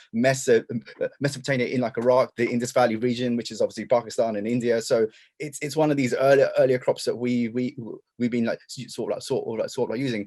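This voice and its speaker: The speaker has an English accent and talks very fast. The intonation is fairly even. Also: man. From England. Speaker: denim historian and lecturer. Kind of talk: presentation. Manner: halting, many repetitions and fillers.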